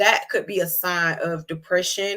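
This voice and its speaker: Woman with a Georgia accent and a bright, sharp tone. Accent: Southern American (Georgia). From US South, Georgia. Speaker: HIV advocate and nonprofit host. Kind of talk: educational talk on live show. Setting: livestream. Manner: fast; casual, conversational.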